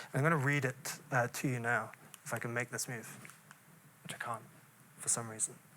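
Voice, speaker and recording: A man's medium-pitched voice with a bright, sharp tone, fairly even intonation, a fairly quick pace and long, frequent pauses. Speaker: poet and lecturer. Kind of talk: lecture. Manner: hesitant, many fillers.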